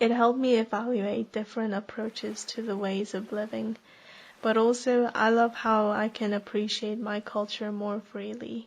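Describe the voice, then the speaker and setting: Someone with a Korean accent speaks at a moderate pace with monotone, flat intonation. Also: woman. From South Korea, then international school in Thailand. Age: 20s. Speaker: personal essayist. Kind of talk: reading aloud a personal essay.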